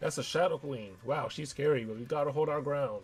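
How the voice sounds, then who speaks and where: Against light background noise, a man puts on a character voice with fairly high pitch. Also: fairly quick pace. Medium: game stream. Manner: casual, upbeat.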